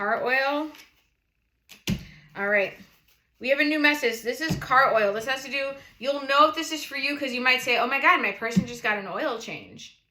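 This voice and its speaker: The voice is bright and sharp in tone, animated, with lively intonation. It carries a New England accent. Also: woman. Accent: noticeable New England. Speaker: tarot reader, channel host. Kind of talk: casual tarot reading livestream.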